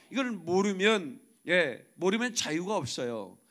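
A man speaks loudly in an animated tone. The background is quiet. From South Korea. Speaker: pastor. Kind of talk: sermon. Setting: church. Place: church. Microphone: podium.

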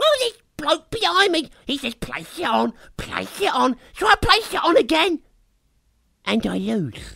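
The voice sits at a high pitch. Its pace is fairly slow. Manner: rueful, incredulous.

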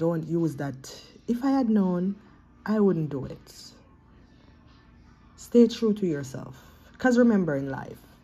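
At a fairly slow pace, a woman with a fairly low voice leaves long, frequent pauses while faint music plays in the background. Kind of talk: motivational vlog message. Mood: earnest, encouraging. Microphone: phone near.

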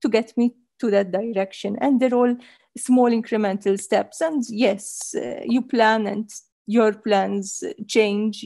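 The tone is dark and mellow, with ordinary pitch variation. The pace is very slow. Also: woman, quiet background. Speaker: panelist. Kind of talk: interview answer. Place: home room. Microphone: headset.

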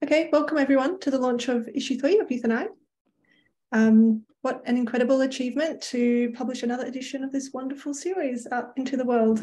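Talking at a very fast pace, a woman has a high pitch, a dark, mellow tone and ordinary pitch variation. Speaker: host of the launch. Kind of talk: formal welcome speech. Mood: warm, celebratory. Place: home room. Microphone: video call.

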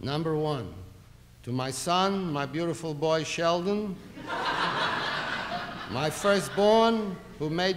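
A man is heard over noticeable background noise. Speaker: comic performer reading a will. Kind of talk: comedy sketch monologue. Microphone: old recording.

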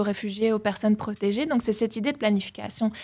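On a very clean recording with a silent background, a woman with a fairly high pitch and fairly even intonation speaks in an unremarkable speaking voice. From Belgium. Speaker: political science professor. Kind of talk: interview. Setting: studio.

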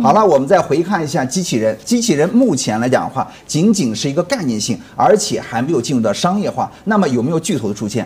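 A man talking at a very fast pace, with very wide pitch swings and hardly any pauses. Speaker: stock market commentator guest. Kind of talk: interview answer. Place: studio. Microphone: lapel.

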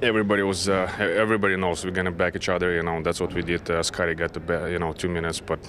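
Over light background noise, a man speaks at a very fast pace with hardly any pauses, his very deep, low pitch held in monotone, flat intonation and very even loudness. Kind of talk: interview answer. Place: hall.

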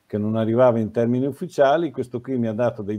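Dark and mellow in tone, a man's medium-pitched voice moves with ordinary pitch variation. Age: 60s. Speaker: former nurse, health educator; health educator. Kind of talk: interview. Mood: calm, reflective. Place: home room. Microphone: video call.

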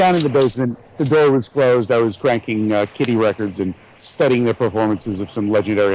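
Over noticeable background noise, a man with an American accent talks at a very fast pace, with a medium pitch and ordinary pitch variation. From United States. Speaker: voice actor. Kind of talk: interview answer.

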